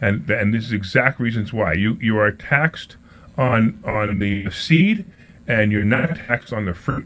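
A man speaks at medium pitch. His intonation is lively. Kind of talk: radio call-in pitch. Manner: rapid-fire, repeating the phone number in a pushy, salesy patter; upbeat, enthusiastic, hyping the guest and topic.

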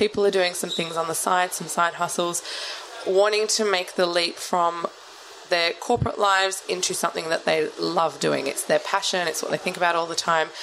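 A woman speaks at a moderate pace with a fairly low pitch and flat, monotone intonation. Noticeable background noise is present. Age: 30s. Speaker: gym owner and podcast co-host. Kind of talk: casual chat.

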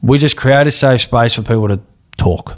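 Talking at a fairly quick pace, a man with an Australian accent shows ordinary pitch variation. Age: 30s. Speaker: charity CEO and former footballer. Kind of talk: interview.

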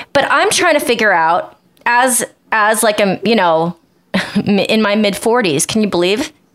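With an unremarkable speaking voice, a woman talks at a fairly slow pace and fairly high pitch, her intonation lively and her loudness very even. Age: 40s. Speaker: podcast co-host and professional dancer. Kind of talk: casual chat.

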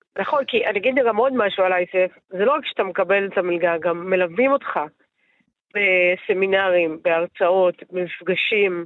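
Her voice is an unremarkable speaking voice, medium in pitch, with ordinary pitch variation. The woman keeps a moderate pace and very even loudness. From Israel, Netanya. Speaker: politician. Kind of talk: interview.

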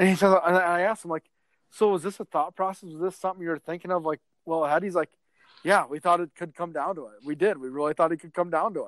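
A man with a Midwestern American accent at a very fast pace, high-pitched, in a dry, close sound with no echo against a quiet background. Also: big swings in loudness. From northwest Iowa. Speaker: sports editor. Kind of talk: casual sports chat. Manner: animated.

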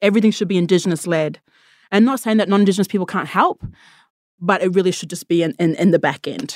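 On a very clean recording with a silent background and a dry, close sound with no echo, a woman with an Australian accent talks at a very fast pace with ordinary pitch variation. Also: medium pitch for a woman. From Australia, First Nations. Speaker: tech worker. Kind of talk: interview answers.

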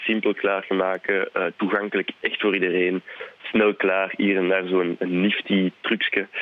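A man speaks with a fairly low pitch at a moderate pace. His intonation is flat and monotone. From Belgium, Flanders (francophone family, Brussels/Charleroi roots). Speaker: TV chef. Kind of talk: casual chat. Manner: hesitant, many fillers.

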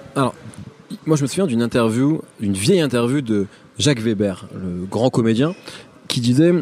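Over noticeable background noise, a man at a medium pitch speaks at a moderate pace with lively intonation. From Picardy. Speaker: podcast host, interviewer. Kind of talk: interview. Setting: hotel.

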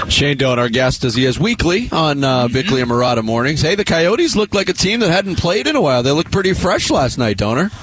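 Speech comes at a very fast pace with hardly any pauses and very wide pitch swings. Loudness stays very even over noticeable background noise. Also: man, fairly high pitch for a man. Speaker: radio sports host. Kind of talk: live sports talk radio show banter. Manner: fast, chatty, animated, joking with crew.

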